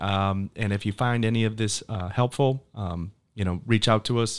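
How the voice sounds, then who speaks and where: In a very clean recording with a silent background, a man at medium pitch talks in an unremarkable speaking voice. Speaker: podcast host. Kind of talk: casual interview chat.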